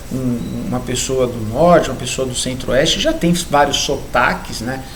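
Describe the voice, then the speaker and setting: A man with a southeastern Brazilian accent speaks at a fairly slow pace. Noticeable background noise and audible room echo come through. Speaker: biology teacher. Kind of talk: lecture. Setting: recorded video lesson.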